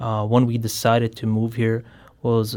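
A man with a Bosnian accent speaks at a moderate pace in a medium pitch and a dark, mellow tone, his intonation flat and monotone. The recording is very clean with a silent background. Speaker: genocide survivor and student. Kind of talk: radio interview. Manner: halting.

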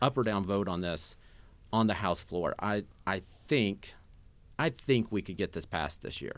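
A man with an American accent speaks at a moderate pace in a plain, everyday voice, his pitch fairly low, on a very clean recording with a silent background. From Southeast Missouri. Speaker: state legislator. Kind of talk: political interview. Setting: studio.

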